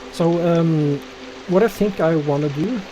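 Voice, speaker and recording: Over noticeable background noise, the speaker talks at a fairly slow pace with a non-native accent. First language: not English. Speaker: gaming streamer. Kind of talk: live gameplay commentary. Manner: hesitant, many fillers.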